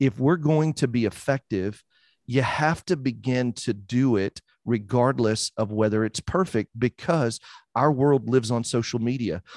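At a moderate pace, a man with an unremarkable speaking voice talks at medium pitch with ordinary pitch variation and very even loudness, the sound dry and close with no echo over a quiet background. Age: 40s. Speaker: mortgage branch manager and podcaster. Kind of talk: casual interview chat.

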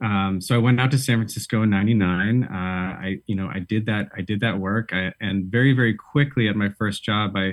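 In a plain, everyday voice with an American accent, a man talks at a fairly quick pace, his pitch fairly low and his intonation fairly even. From Boston. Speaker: life coach and illustrator. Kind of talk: casual interview.

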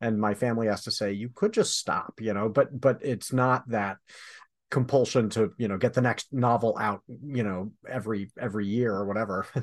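A man with an American accent speaks at a moderate pace in an ordinary speaking voice, his medium pitch and fairly even intonation set against a quiet background. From Michigan. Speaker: podcast host and novelist. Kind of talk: casual chat. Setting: studio.

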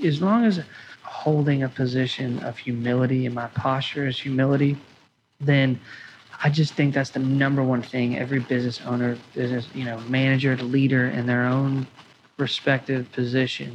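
A somewhat breathy man at medium pitch speaks at a moderate pace with fairly even intonation and long, frequent pauses. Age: 20s. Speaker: restaurant owner. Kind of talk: interview.

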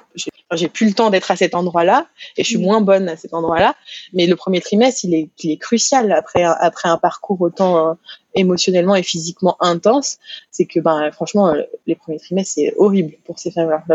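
Her pace is fairly quick. This woman has a medium pitch with ordinary pitch variation. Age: 30s. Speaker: hypnotherapist. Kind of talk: interview. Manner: halting, many repetitions and fillers.

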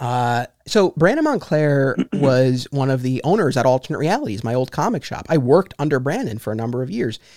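A man with a normal speaking voice talks at a fairly quick pace with hardly any pauses, his medium pitch carried by lively intonation. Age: 30s. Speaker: podcast host. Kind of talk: casual chat. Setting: video call.

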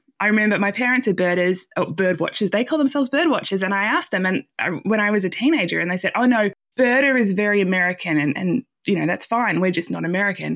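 Speech comes very fast with lively intonation and very even loudness in an Australian accent. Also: woman, medium pitch for a woman. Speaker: nonprofit coordinator. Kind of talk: interview.

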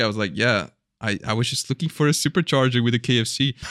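A man speaks very fast in a bright, sharp tone, recorded dry and close with no echo. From Belgium. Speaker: YouTuber and speedcuber. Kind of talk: casual chat. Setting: remote call.

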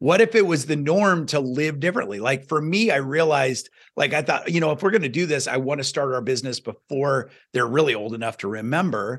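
With a fairly high pitch and lively intonation, a man talks at a fairly quick pace in an energetic tone. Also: quiet background. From US Midwest, small-town Iowa. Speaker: success coach and podcaster. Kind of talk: podcast interview.

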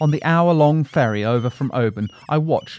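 A man talks in a plain, everyday voice at a moderate pace with lively intonation. The sound is dry and close with no echo, over a quiet background. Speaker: audio reader of a magazine article. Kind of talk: scripted narration of a nature travel article, read aloud. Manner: measured, warm, descriptive, wonder-filled.

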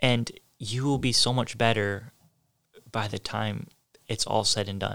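Over a very clean recording with a silent background, a man with a medium pitch and a bright, sharp tone speaks at a fairly slow pace with fairly even intonation and long, frequent pauses. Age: 20s. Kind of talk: solo devotional talk.

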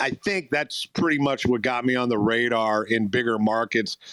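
Man with an American accent and an unremarkable speaking voice, medium in pitch, on a very clean, dry, close recording with no echo and a silent background. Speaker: radio program director. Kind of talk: interview storytelling. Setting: live audio chat room.

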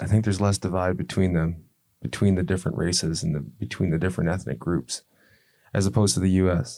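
In a very clean recording with a silent background, a man talks very fast in a very deep, low pitch, his tone dark and mellow with vocal fry and ordinary pitch variation. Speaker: podcast host. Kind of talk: casual interview.

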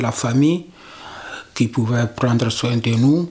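A man speaks at a medium pitch. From Togo. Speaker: migrant. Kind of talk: testimony.

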